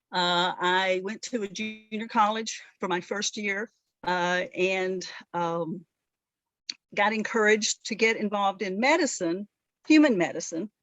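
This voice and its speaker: With music in the background, a woman speaks at a fairly slow pace in a Southern US accent. Her pitch is medium and varies in an ordinary way. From US South, rural northeast Alabama. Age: 60s. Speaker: veterinarian. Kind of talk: interview. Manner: halting.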